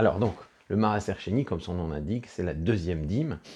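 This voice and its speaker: In a dark, mellow tone, a man talks with ordinary pitch variation against a quiet background. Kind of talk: religious lecture. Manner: halting, many fillers and restarts.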